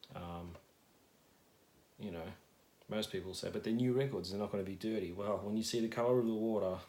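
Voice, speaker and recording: With an Australian accent, a man talks at a fairly quick pace in a dark, mellow tone, his fairly low pitch held to fairly even intonation, broken by long, frequent pauses. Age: 30s. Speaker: ASMR youtuber, vinyl collector. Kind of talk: casual ramble. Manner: halting, many fillers.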